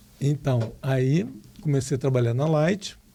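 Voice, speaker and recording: A man with a Carioca accent speaks in a dark, mellow tone that is somewhat breathy. His pitch varies in an ordinary way. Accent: moderate Rio accent (carioca). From Rio de Janeiro, Brazil. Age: 60s. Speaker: retired electrical engineer and professor. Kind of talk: interview.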